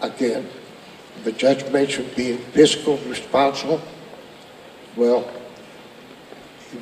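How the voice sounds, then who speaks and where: Through noticeable background noise, a man with an American accent speaks at a fairly slow pace. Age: 70s. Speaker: county commissioner. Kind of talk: public speech. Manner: halting.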